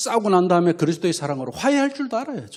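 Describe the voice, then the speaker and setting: Speaking with a Gyeongsang accent, the man's voice moves through very wide pitch swings. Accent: Gyeongsang dialect, pronunciation issues. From Gyeongsang region, South Korea. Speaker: pastor, ministry lecturer. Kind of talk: lecture. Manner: animated.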